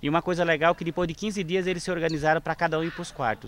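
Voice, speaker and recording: This man speaks with a fairly high pitch. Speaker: NGO founder. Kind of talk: documentary interview.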